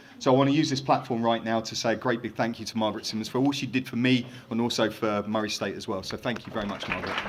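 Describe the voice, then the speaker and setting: Speech comes at a very fast pace with hardly any pauses and fairly even intonation over noticeable background noise. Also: man, medium pitch for a man. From England. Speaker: hall of fame inductee, former college football kicker. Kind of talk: acceptance speech. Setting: stage with audience at induction ceremony.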